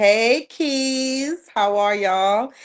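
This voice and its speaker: A woman talks in an American accent against a quiet background. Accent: Jamaican, slight, comes out now and then. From Jamaica, then New York. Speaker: plus size model. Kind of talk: podcast interview.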